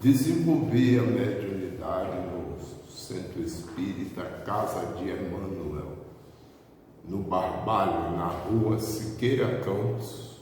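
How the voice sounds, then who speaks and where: With noticeable background noise and audible room echo, a man speaks at a very slow pace in a fairly low pitch with lively intonation. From Bahia, Brazil (Baixo Sul). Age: 70s. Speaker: spiritist medium. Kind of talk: testimony.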